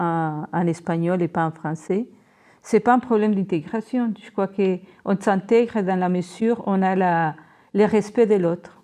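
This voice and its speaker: A woman with a Colombian accent speaks at a medium pitch in a dark, mellow tone, her pitch varying in an ordinary way. She keeps a fairly slow pace against a quiet background. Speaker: school principal. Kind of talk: casual chat.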